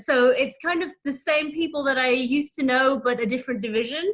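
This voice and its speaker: A woman's high, bright, sharp voice in a British accent with lively intonation. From UK. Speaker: materials engineer. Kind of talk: casual interview. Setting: video call.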